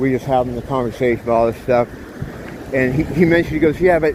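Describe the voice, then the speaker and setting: Against noticeable background noise, a man talks very fast with ordinary pitch variation. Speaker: vlogger. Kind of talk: casual vlog monologue while walking. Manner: animated.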